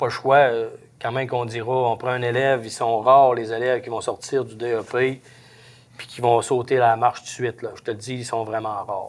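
Speaking in a Saguenay–Lac-Saint-Jean accent, a man keeps a monotone, flat intonation at medium pitch and a moderate pace. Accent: Saguenay–Lac-Saint-Jean Québécois French. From Quebec, Lac-Saint-Jean. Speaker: forestry truck driver. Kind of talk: interview. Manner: halting.

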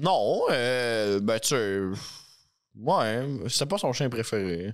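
A man at medium pitch, very slow in pace with long, frequent pauses, lively intonation and very even loudness. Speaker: podcast co-host. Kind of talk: casual chat.

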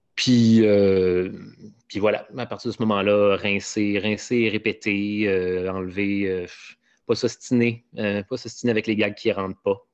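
A man speaks very slowly in a Quebec accent. His pitch is fairly low and his intonation monotone and flat. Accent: Québécois French. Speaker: comedian and podcaster. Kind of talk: casual interview.

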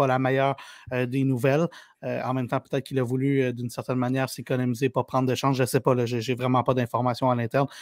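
A man's medium-pitched, monotone voice at a very fast pace, dry and close with no echo. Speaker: sports journalist. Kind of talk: casual chat.

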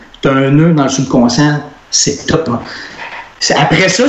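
Background noise is noticeable, along with audible room echo. A man speaks at a fairly slow pace. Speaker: author and speaker. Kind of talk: casual chat.

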